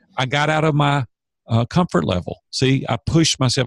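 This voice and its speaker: Recorded dry and close with no echo and a silent background, a man talks at a moderate pace with a Southern US accent, his voice somewhat breathy. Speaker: business coach. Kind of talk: podcast interview. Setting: podcast. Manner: animated.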